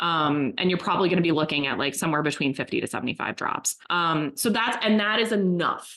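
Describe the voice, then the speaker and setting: The speech moves at a fairly quick pace with hardly any pauses, lively intonation and very even loudness. Noticeable background noise runs underneath. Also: woman. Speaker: marketing agency executive. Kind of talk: informal expert discussion. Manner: fast.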